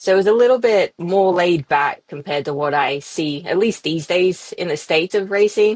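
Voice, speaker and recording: In an Australian accent, the speaker keeps a moderate pace with ordinary pitch variation and hardly any pauses. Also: woman, medium pitch for a woman. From Australia, Yass near Sydney. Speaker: professional off-road motorcycle racer. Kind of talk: podcast interview.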